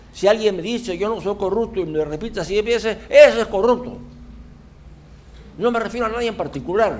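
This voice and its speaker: Pausing long and often, a man speaks at a fairly quick pace in a high pitch with ordinary pitch variation, and the room echo is audible. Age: 80s+. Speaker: audience member asking questions. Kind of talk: Q&A comments after a lecture.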